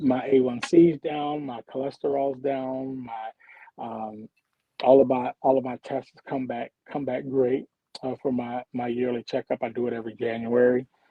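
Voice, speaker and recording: Flat, monotone delivery from a man at medium pitch, with an American accent. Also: moderate pace. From Philadelphia, Pennsylvania. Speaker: community development worker. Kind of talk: casual chat. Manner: halting, repeats words.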